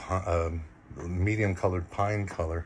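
A man talks with a very deep, low pitch and a somewhat breathy quality. His intonation is fairly even, with light background noise behind him. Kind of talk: walk-through tour commentary. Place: boat. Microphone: phone near.

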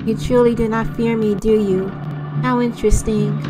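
Loud music plays in the background behind a woman's put-on character voice. She speaks at a moderate pace and a medium pitch. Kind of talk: solemn game-dialogue read-aloud. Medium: virtual streamer. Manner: mournful, weary, formal.

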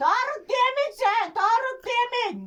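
A woman does a put-on character voice at an extremely high pitch, speaking very slowly. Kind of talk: prank call comedy. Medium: solo performance. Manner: confused, repetitive, insistent.

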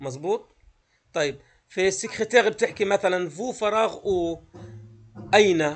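Pausing often and at length, a man with a high pitch and ordinary pitch variation speaks at a fairly slow pace. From Palestine, Gaza; Palestine. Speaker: French teacher. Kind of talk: lecture. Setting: video call. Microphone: video call.

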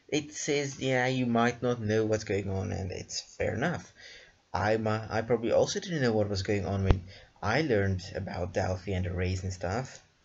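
A man with a fairly low voice speaks at a moderate pace, somewhat breathy, with ordinary pitch variation. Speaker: programming tutor. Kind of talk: tutorial. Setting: screen recording.

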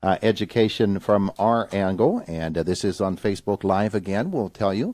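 Against a quiet background, a man talks at a moderate pace, the sound dry with no echo. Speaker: morning radio show host. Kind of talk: radio interview. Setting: studio. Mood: warm, friendly. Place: studio.

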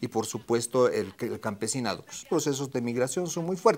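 The man's intonation is lively as he speaks at a moderate pace. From Bolivia. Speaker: TV panelist. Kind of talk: panel debate. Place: studio. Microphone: lapel.

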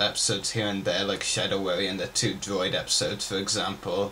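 Light background noise can be heard as a man speaks. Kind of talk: casual Q&A vlog chat. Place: home room. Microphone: webcam.

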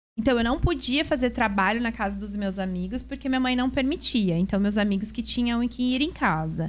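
A fairly high-pitched, somewhat breathy woman with a Brazilian accent, animated in tone, with lively intonation, a fairly quick pace and hardly any pauses. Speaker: podcast host; podcast guest. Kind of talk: casual chat. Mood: animated storytelling. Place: studio. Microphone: studio mic.

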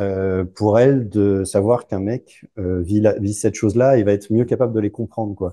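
A man's fairly low, dark, mellow voice at a moderate pace, with fairly even intonation and hardly any pauses. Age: 40s. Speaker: divorced father; interview guest. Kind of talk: casual interview. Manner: halting. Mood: relaxed, smiling. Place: home room. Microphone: lapel.

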